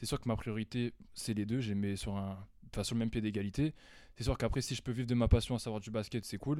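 A man with a normal speaking voice and a fairly low pitch speaks with fairly even intonation on a very clean recording with a silent background. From northern France, Amiens. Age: 20s. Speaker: basketball player. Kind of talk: casual interview.

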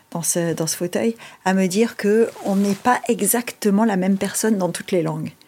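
Over noticeable background noise, a woman speaks at a moderate pace with medium pitch and fairly even intonation. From Monaco. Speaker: podcast host. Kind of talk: interview.

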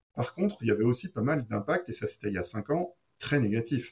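This man's voice has a dark, mellow tone and medium pitch, moving at a moderate pace. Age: 40s. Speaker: wine shop owner. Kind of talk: interview.

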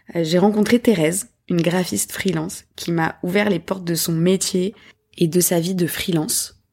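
At a moderate pace, a woman talks in a fairly low pitch with fairly even intonation, on a very clean recording with a silent background. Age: 30s. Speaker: podcast host, graphic designer. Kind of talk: solo podcast monologue. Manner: hesitant with fillers.

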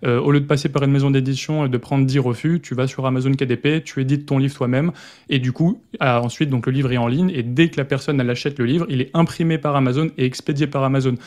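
Very fast and fairly even in intonation, a man with a fairly high pitch talks against a quiet background. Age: 20s. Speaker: self-publishing entrepreneur and YouTuber. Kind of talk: casual interview.

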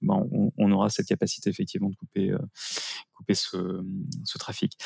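A man's voice, dry and close with no echo. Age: 40s. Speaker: IT managed-services business owner. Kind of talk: interview. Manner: hesitant, frequent fillers.

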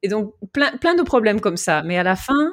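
A woman speaks with an English accent. The recording is very clean, and the background is silent. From Vanuatu and Australia. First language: English (speaking French). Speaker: cyclist. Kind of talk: interview. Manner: halting, many fillers and repetitions.

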